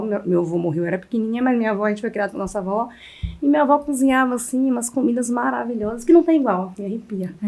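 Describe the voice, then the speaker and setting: A woman speaks very fast in a sertão accent. Her pitch is fairly high. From Bahia backlands, Brazil. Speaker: chef. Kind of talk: interview.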